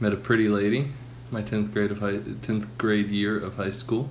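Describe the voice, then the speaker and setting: A man's fairly low voice with ordinary pitch variation, amid noticeable background noise and audible room echo. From Texas, Houston area. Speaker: podcast host. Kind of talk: casual chat.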